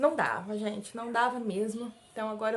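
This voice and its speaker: A woman is speaking at a fairly high pitch. She keeps a moderate pace. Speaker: vlogger, mother. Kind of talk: casual vlog talk to camera. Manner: weak, struggles to speak at length.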